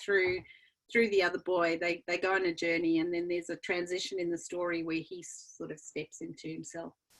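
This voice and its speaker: The speaker talks at a fairly quick pace with a South African accent. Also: woman. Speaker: children's book author. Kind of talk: interview.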